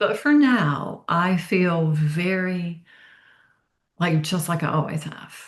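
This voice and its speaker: Somewhat breathy and fairly low-pitched, a woman speaks at a very slow pace with ordinary pitch variation. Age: 60s. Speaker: author. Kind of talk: interview. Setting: podcast.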